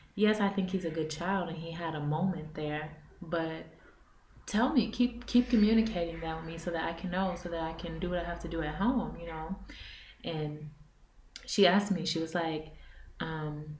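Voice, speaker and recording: A woman with a fairly low pitch speaks at a moderate pace, with audible room echo and noticeable background noise. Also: ordinary pitch variation. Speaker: vlogger, mother living abroad. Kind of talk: casual vlog talk to camera. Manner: loud; animated.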